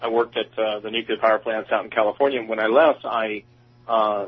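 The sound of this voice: A man with an American accent speaks in a nervous tone at a fairly low pitch, with a slightly husky edge. His pace is fairly quick and his intonation fairly even.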